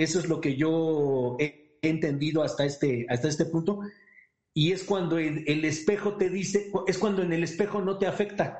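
Here a man speaks in a high pitch with ordinary pitch variation. His pace is moderate. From Pachuca, Hidalgo, Mexico. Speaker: participant sharing experience. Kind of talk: personal testimony. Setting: Zoom call.

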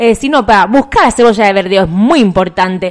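A woman talks at a fairly quick pace in a fairly high voice. It is an unremarkable speaking voice. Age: 40s. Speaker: podcast co-host. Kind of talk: casual chat.

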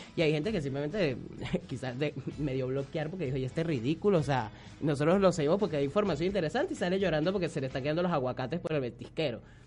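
A man speaks very fast in a fairly high, somewhat breathy voice with ordinary pitch variation. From Venezuela. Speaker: social media humorist. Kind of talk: radio interview.

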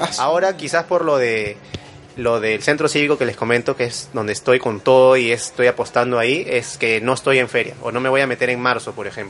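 This man speaks fairly quickly while noticeable background noise runs underneath. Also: medium pitch for a man, ordinary pitch variation. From Lima, Peru. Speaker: graphic designer and small business owner. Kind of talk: casual interview. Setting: studio.

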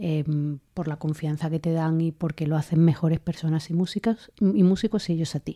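A fairly quick pace, a dark, mellow tone, and ordinary pitch variation. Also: woman, fairly low pitch for a woman. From Spain, Andalusia (Linares, Jaén). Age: 30s. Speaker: orchestra conductor. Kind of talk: interview.

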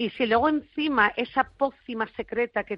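Speaking at a fairly slow pace, a woman with a normal speaking voice shows ordinary pitch variation. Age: 40s. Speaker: flamenco expert and author. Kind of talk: interview. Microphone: connection problems.

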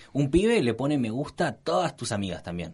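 A man with a plain, everyday voice, medium pitch and lively intonation, over a quiet background. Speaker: podcast co-host. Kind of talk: casual chat.

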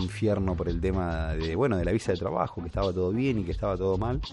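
At a very fast pace, a man talks in a very deep, low voice with a dark, mellow tone. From Argentina, Tierra del Fuego (Río Grande), raised in Córdoba. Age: 20s. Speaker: podcast host, cook. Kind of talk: solo podcast monologue.

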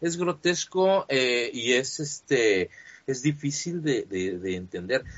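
A man with a Mexican accent speaks with very wide swings in pitch. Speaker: sports fan site writer. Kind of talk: casual interview chat. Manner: halting, many fillers.

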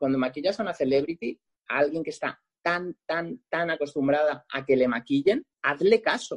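With lively intonation, a man talks at a moderate pace in a dry, close recording with no echo. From Catalonia, Lleida province. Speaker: makeup artist. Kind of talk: interview.

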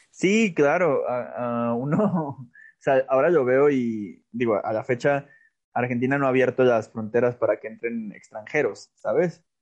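At a fairly slow pace, a man talks in an ordinary speaking voice. His pitch is medium and his intonation lively. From Mexico, Aguascalientes. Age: 20s. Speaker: writer and theatre artist. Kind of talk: interview.

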